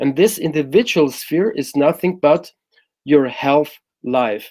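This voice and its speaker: Speaking at a very slow pace in a German accent, a man uses lively intonation and a fairly high pitch. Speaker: happiness coach. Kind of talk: interview explanation.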